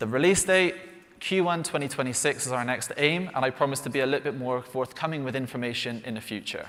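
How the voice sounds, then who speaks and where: Talking fairly quickly with lively intonation, a man with a West Country accent has a fairly high pitch. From England, Bristol. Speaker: flight sim developer presenting products. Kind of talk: live product announcement presentation.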